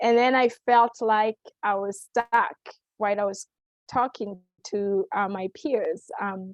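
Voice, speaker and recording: At a very slow pace, a woman with a non-native accent speaks with a fairly high pitch and fairly even intonation. The sound is dry and close, with no echo. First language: not English. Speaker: nonprofit professional. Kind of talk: panel talk. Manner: halting, many fillers.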